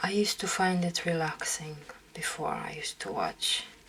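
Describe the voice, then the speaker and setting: A woman talks at a fairly slow pace, and noticeable background noise is present. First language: Romanian. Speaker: makeup artist. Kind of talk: casual chat. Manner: relaxing, calm.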